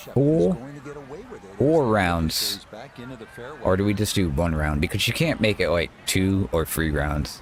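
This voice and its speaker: Over noticeable background noise, a man with an American accent speaks at a fairly slow pace with lively intonation. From upstate New York. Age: 40s. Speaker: gaming streamer. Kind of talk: live gameplay commentary. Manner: casual, halting.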